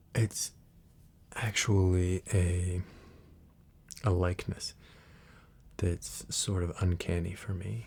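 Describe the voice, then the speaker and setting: A soft-spoken, somewhat breathy man talks very slowly in a very deep, low voice, with ordinary pitch variation and long, frequent pauses. The recording is very clean, with a silent background. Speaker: ASMR creator. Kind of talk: casual talk to camera.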